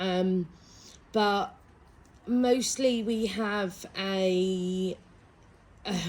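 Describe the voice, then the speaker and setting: A woman speaks at medium pitch at a very slow pace. Long, frequent pauses break up her fairly even intonation. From East Anglia, Suffolk, England. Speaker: English language specialist. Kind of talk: interview.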